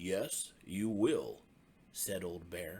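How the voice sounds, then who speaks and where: A man puts on a raspy character voice with a very deep, low pitch, and the sound carries an audible echo. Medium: read story.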